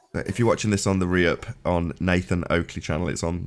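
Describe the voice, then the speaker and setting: Very fast and very deep, this man's voice carries vocal fry. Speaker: debate show host. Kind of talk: casual chat.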